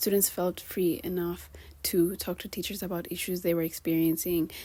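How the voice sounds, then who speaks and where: Her voice dark and mellow with a fairly low pitch, a woman talks at a moderate pace on a very clean recording with a silent background. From Kenya. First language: bilingual English and Swahili. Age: 20s. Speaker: vlogger. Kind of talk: casual vlog monologue. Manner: animated.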